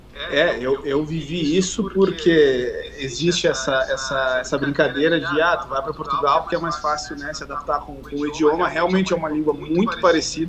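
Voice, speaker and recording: A man with a Brazilian accent, fairly high pitch and fairly even intonation, at a moderate pace with hardly any pauses, over noticeable background noise. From southern Brazil, Uruguaiana (Rio Grande do Sul). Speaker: fitness coach. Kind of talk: casual chat. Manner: halting.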